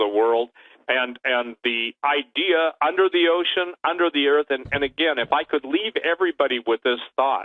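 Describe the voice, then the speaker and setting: This man's intonation is lively. He keeps to a moderate pace. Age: 60s. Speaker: researcher and radio guest. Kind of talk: radio interview. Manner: animated.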